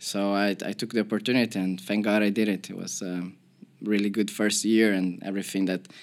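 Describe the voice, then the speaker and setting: Very clean and silent in the background, this recording has a man speaking at a fairly quick pace. His pitch is fairly low and his intonation monotone and flat. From Brazil, Porto Alegre. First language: Portuguese. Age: 30s. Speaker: professional footballer. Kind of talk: podcast interview. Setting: studio.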